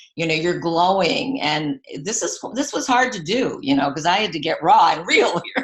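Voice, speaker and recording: Over noticeable background noise, a woman speaks at medium pitch with very wide pitch swings and hardly any pauses. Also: moderate pace. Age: 70s. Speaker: retired teacher and product seller. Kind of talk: sales pitch. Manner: animated.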